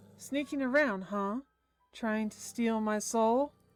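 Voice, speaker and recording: A woman performs a put-on character voice. She uses a fairly high pitch at a fairly slow pace. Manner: sly, menacing.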